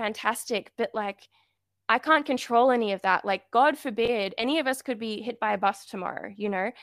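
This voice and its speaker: Speaking at a moderate pace, a woman with an unremarkable speaking voice uses a fairly high pitch with ordinary pitch variation. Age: 20s. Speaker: freelance writer and illustrator. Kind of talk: interview, faith-based casual chat. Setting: remote call.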